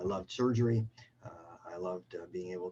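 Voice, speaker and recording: A man with a Canadian accent, fairly low-pitched, talking at a very fast pace with fairly even intonation over noticeable background noise. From Canada. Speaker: surgeon and professor. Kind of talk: self-introduction. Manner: halting with many fillers.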